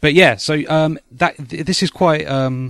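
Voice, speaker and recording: In a British accent, a man talks at a moderate pace with lively intonation on a very clean recording with a silent background. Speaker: podcast host. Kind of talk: casual chat. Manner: hesitant, many fillers.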